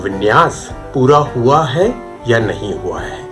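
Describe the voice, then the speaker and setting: A man talks while music plays in the background. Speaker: radio announcer. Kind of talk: interview answer.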